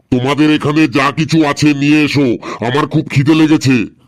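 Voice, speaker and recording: It's a cartoonish character voice with flat, monotone intonation. The pace is moderate and the loudness very even. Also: man, fairly high pitch for a man. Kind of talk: comic cartoon dubbing. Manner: bossy, irritable.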